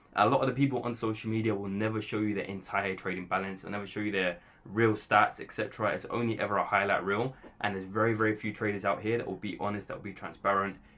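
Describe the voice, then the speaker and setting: This man talks very fast with a fairly low pitch, fairly even intonation, a bright, sharp tone and a London accent. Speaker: trader and content creator. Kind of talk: casual monologue to camera. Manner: rambling with fillers.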